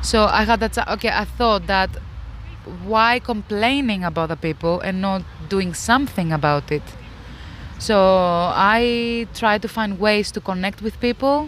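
Speaking fairly slowly in a Greek accent, a woman keeps a medium pitch with ordinary pitch variation. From Greece. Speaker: interviewee sharing pandemic experience. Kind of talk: casual interview. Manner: halting, with fillers.

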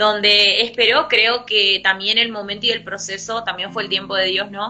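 Music plays in the background behind a woman. Her pitch is fairly high and her intonation fairly even. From Argentina, Formosa. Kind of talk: casual faith discussion.

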